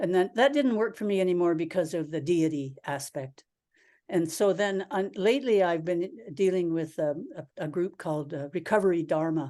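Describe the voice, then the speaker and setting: A woman's dark, mellow voice at a fairly low pitch and moderate pace, with a quiet background. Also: lively intonation. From Canada. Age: 70s. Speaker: Zen priest and teacher. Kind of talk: dharma talk Q&A answer. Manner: halting, with repetitions.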